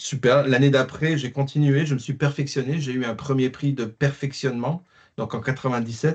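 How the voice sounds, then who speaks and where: A man speaks at a moderate pace in a medium-pitched, somewhat breathy voice with flat, monotone intonation. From France, working-class mining town. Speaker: classical guitarist. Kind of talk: interview. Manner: hesitant, many fillers.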